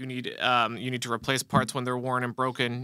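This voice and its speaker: A man's bright, sharp voice at a fairly quick pace over a quiet background. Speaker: instructor. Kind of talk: live show explanation. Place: studio. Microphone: studio mic.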